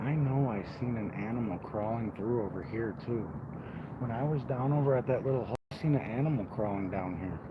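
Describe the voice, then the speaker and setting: A man's fairly quick speech has audible room echo around it. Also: medium pitch for a man, ordinary pitch variation. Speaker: outdoor vlogger. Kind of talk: casual vlog narration while hiking. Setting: outdoors. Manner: loud.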